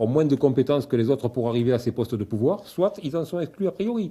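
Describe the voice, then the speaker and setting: In a southern French accent, a man speaks at a fairly quick pace with a fairly high pitch and lively intonation. His tone is dark and mellow, and somewhat breathy. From southern France, Sète and Roussillon (Catalan). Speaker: politician, member of parliament, law lecturer. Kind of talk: interview.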